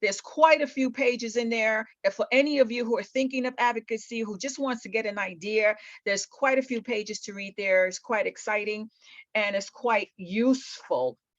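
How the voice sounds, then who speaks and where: Speaking at a moderate pace with ordinary pitch variation, a woman with an ordinary speaking voice and a fairly high pitch is heard in a dry, close sound with no echo. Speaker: patient advocate presenter. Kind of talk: webinar presentation.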